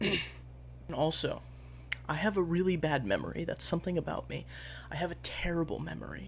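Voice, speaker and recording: The speech moves at a moderate pace and is quiet. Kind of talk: casual talk to camera.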